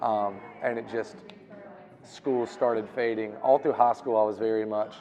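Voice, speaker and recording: Amid noticeable background noise, a man with a Southern US accent speaks at a moderate pace. His fairly low voice stays monotone and flat. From US South, North Carolina (Reidsville area). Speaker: musician. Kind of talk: interview.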